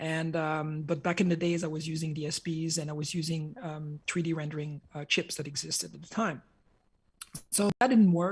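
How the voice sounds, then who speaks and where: The speaker has a French Canadian accent and keeps a moderate pace. The recording is very clean, with a silent background. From Quebec. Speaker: hardware engineer and entrepreneur. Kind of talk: conference talk. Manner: hesitant, many fillers.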